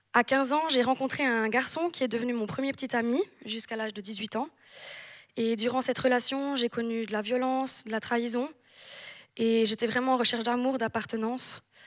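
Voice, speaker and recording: Words come out at a fairly quick pace, with intonation that stays fairly even. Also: woman, high pitch for a woman. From French-speaking Switzerland and southern France. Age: 20s. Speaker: church member giving baptism testimony. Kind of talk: testimony. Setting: church service with audience.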